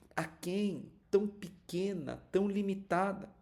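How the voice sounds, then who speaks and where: A man's dark, mellow voice at a very slow pace, with audible room echo. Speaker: pastor. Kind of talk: sermon. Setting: livestream. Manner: animated.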